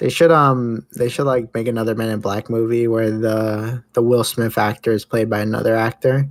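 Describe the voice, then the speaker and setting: A man with a normal speaking voice talks at a medium pitch and a moderate pace, with fairly even intonation and hardly any pauses. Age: 20s. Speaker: podcast host. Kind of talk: casual chat.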